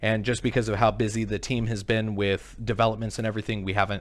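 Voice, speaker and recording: On a very clean recording with a silent background, a man talks at a very fast pace and fairly low pitch with monotone, flat intonation. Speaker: crypto project team member hosting community AMA. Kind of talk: live stream Q&A.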